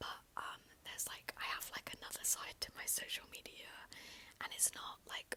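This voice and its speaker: A woman whispers. Her pace is moderate. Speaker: ASMR YouTuber. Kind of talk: ASMR whisper ramble, casual talk to camera. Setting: close microphone, handheld. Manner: whispered, up close, soft.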